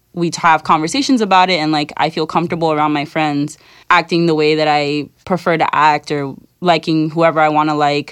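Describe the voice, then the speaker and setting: A woman with an American accent speaks at a fairly quick pace in a very deep, low pitch. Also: fairly even intonation, very clean recording, silent background. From New York City. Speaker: university student. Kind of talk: panel discussion.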